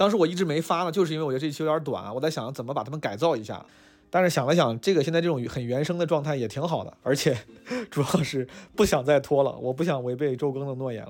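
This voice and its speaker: A man talks at a very fast pace in a fairly high pitch. His pitch varies in an ordinary way. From Northeast China. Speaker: podcast host and stand-up comedian. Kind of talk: casual chat. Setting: restaurant.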